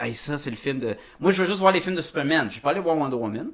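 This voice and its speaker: This man talks very fast in a Quebec accent. His voice is fairly high, with ordinary pitch variation. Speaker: podcast host. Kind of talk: casual chat.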